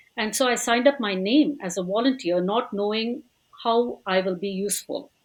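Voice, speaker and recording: A woman's fairly high voice moves at a moderate pace, with ordinary pitch variation throughout. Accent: Tamil. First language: Tamil. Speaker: language school teacher. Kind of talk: podcast interview.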